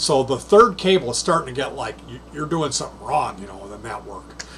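Over light background noise, a man talks at a fairly quick pace with lively intonation. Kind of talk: casual tutorial chat. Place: home room.

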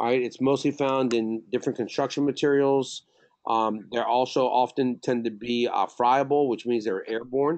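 A man with an American accent at medium pitch, moderate pace, fairly even intonation and very even loudness, against a quiet background. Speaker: safety trainer. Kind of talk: lecture. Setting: video call. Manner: halting.

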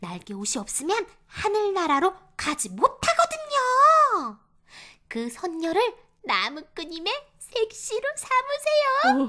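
A put-on character voice, raised and projected, moves at a fairly slow pace with very wide pitch swings. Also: woman, extremely high pitch for a woman. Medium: read story. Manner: earnest, polite.

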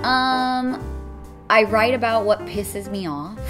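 A woman speaking over clear music in the background. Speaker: voice actress. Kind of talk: interview answer. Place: meeting room.

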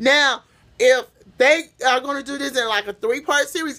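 In a raised, projected voice, a woman speaks with a bright, sharp tone and ordinary pitch variation against a quiet background. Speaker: vlogger. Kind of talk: casual vlog chat, opinion commentary. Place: home room. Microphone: phone near.

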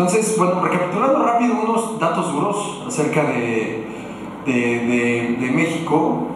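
A man's high voice with very wide pitch swings at a fairly slow pace, amid noticeable background noise and strong room echo. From Mexico, Morelia (Michoacán). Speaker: digital agency director, conference speaker. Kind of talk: conference talk. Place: hall.

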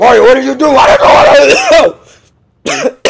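In a put-on character voice, a man speaks at an extremely high pitch, sounding strained, with very wide pitch swings. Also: moderate pace. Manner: strained, put-on.

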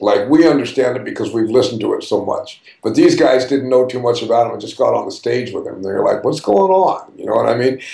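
A man with an American accent speaks at a very fast pace with hardly any pauses. The background is quiet, though there is audible room echo. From US West Coast. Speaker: jazz drummer. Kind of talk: interview. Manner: casual, animated. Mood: warm, enthusiastic. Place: home room. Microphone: webcam.

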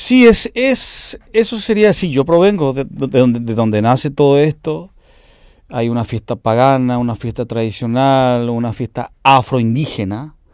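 Over a quiet background, a man speaks at a fairly slow pace, the sound dry with no echo. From Paraguay, Cordillera (Altos). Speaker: cumbia singer and bandleader. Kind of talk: interview. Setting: home studio. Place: studio.

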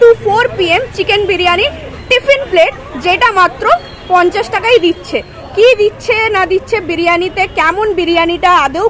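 With an extremely high pitch, a woman speaks at a very even loudness and ordinary pitch variation, in a dry recording without echo and with light background noise. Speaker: food vlogger. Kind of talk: casual vlog commentary. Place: street. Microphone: phone near.

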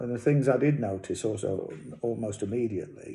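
The speaker talks at a fairly slow pace with vocal fry and an East Midlands accent. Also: man. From England. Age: 60s. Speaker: cancer patient. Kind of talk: casual talk to camera. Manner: hesitant. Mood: calm, matter-of-fact. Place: home room. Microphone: phone near.

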